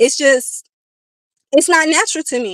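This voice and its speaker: A woman's raised, projected voice, high in pitch, with a bright, sharp, animated tone, ordinary pitch variation, and a moderate pace, in a dry, close sound with no echo. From Chicago. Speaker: live streamer. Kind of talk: casual live stream rant. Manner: louder than usual.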